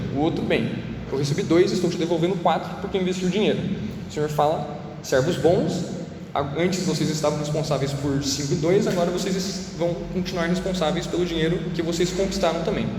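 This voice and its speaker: Over noticeable background noise and audible room echo, a man with a high-pitched voice talks at a fairly quick pace with fairly even intonation. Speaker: youth preacher. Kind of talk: sermon. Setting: room with echo, live audience. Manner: fast.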